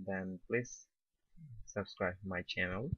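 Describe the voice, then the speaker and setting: His pace is very slow. The man talks with a non-native accent. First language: not English. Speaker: tech tutorial youtuber. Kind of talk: screen-recorded tutorial.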